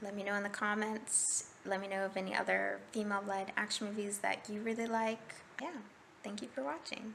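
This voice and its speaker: There is noticeable background noise as a woman with an American accent talks at a moderate pace, her medium pitch showing ordinary variation. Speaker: movie review vlogger. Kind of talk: casual video review. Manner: hesitant with fillers.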